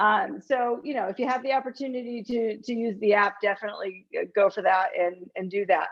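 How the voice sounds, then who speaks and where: Speaking at a fairly quick pace, a woman with a high pitch uses ordinary pitch variation. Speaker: college financial aid officer. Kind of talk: informational presentation. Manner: hesitant, many fillers.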